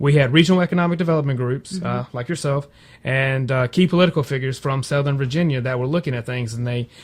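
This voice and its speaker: A man speaks at a very fast pace in a somewhat breathy, fairly high voice with ordinary pitch variation. The recording is very clean, with a silent background. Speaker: broadband company representative. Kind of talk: radio interview answer. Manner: conversational, fluent.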